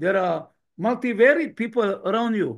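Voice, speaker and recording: A man's high-pitched voice at a fairly slow pace. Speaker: trainer. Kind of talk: online training session.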